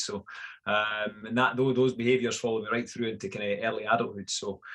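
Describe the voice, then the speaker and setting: Against a quiet background, a man with a Scottish accent talks very fast at a medium pitch in a flat monotone. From Scotland, Fife. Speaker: fitness coach. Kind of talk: podcast interview. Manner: hesitant, many fillers.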